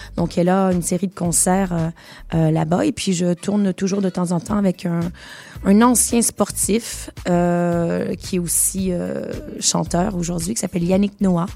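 With a Quebec accent, a woman speaks at a very slow pace, her fairly low pitch held to a fairly even intonation. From Quebec, Montreal. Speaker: singer and musical theatre performer. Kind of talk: radio interview.

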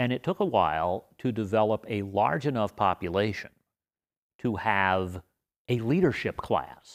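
On a very clean, dry, close recording with no echo and a silent background, a man with an American accent speaks at a fairly slow pace in an unremarkable speaking voice, his fairly low pitch showing ordinary variation. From Las Vegas, Nevada. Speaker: history professor. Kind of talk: interview conversation.

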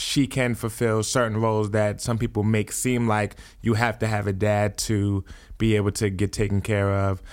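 A man with a New Jersey accent and fairly low pitch at a fairly slow pace, on a very clean recording with a silent background. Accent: New Jersey American English. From US Northeast, New Jersey. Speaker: podcast host. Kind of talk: casual chat.

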